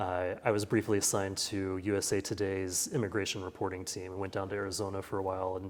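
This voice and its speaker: In a very clean recording with a silent background, a man with a Midwestern American accent talks very fast in a fairly low pitch. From rural Kansas. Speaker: newspaper editor. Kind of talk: interview answer. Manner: conversational.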